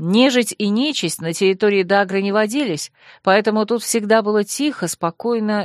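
The voice reads in an unforced way.

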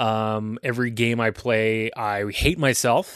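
A man of medium pitch talks with an Ontario accent against a quiet background. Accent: Canadian (Ontario). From Ontario, Canada (Aurora). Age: 30s. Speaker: podcast host. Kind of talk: casual solo monologue.

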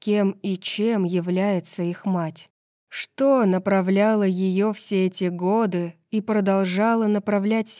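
A natural reading voice with fairly even intonation, set against a quiet background.

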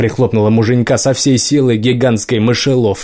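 The voice is a natural reading voice with fairly even intonation.

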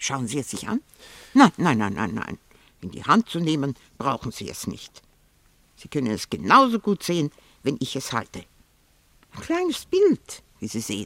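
In a put-on character voice, a woman speaks at extremely low pitch with very wide pitch swings and a fairly bright tone, moving at a moderate pace in a dry, close sound with no echo.

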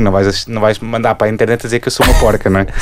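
Talking at a very fast pace with a monotone, flat intonation, a man's medium-pitched voice competes with noticeable background noise. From Portugal, Lisbon area. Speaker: podcast co-host. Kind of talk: casual chat.

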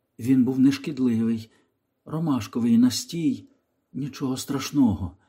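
Someone reads plainly aloud. Little else can be heard behind the voice.

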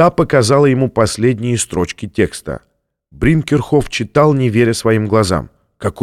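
A natural reading voice, with ordinary pitch variation, comes through over a quiet background.

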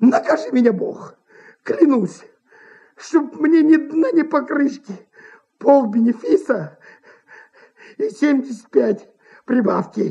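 In a put-on character voice, the speaker goes slowly with a dark, mellow tone, lively intonation and vocal fry.

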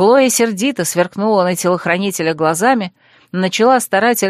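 The clip consists of plain reading aloud. Pitch shifts only in an ordinary way.

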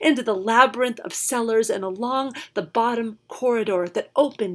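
An unforced reading voice and ordinary movement in pitch

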